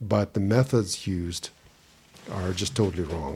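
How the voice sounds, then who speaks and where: The voice is dark, mellow and somewhat breathy, with fairly even intonation. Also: man. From Russia. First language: Russian. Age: 50s. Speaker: assistive technology professional and blind advocate. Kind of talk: casual interview.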